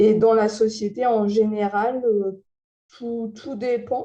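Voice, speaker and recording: A woman's dark, mellow tone. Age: 20s. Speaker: visually impaired TV and podcast host. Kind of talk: interview testimony. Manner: hesitant, many fillers.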